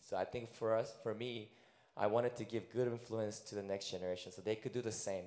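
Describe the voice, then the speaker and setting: A man speaks at a moderate pace in a dark, mellow tone. His intonation is flat and monotone. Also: medium pitch for a man. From Korea, raised in China, US and Russia. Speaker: elementary school teacher. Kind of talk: panel interview in church. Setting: church service.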